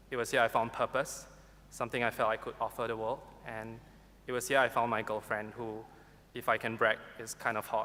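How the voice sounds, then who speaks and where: This man speaks with a Singaporean accent at a fairly quick pace, his medium pitch held in a monotone, flat intonation. The tone is bright and sharp. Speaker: university graduate. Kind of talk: valedictory speech. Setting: graduation ceremony hall with audience. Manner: formal.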